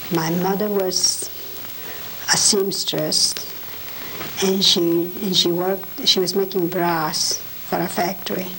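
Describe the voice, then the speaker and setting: A woman speaks very slowly at a medium pitch, flat and monotone, with long, frequent pauses. Noticeable background noise is present. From Poland. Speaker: Holocaust survivor. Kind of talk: oral history interview.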